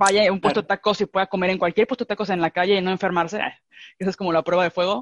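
The speaker has a Mexican accent, heard in a dry, close sound with no echo. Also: woman. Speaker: podcast host, ceramicist. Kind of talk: casual chat. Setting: video call.

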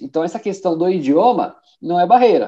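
With a dark, mellow tone, a man with a high pitch talks at a moderate pace. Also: quiet background. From Brazil, São Bernardo do Campo (São Paulo). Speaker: IT professional and course instructor. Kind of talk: casual interview.

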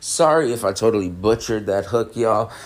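A man talks at a moderate pace. He has an ordinary speaking voice, fairly low in pitch. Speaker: podcast host reviewing music. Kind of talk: casual solo album review. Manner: laid-back, relaxed.

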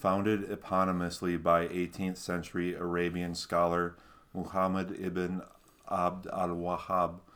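In a Minnesota accent, a man with a very deep, low pitch speaks at a fairly slow pace in a flat monotone, on a very clean recording with a silent background. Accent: Minnesotan American. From Minnesota, US. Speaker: podcast co-host. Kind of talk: reading aloud history notes.

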